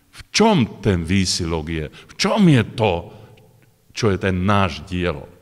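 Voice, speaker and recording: Against a quiet background, a man with a very deep, low pitch speaks very slowly, his pitch varying in an ordinary way while his loudness swings widely. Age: 60s. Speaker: preacher. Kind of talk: sermon. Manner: halting. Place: hall. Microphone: podium.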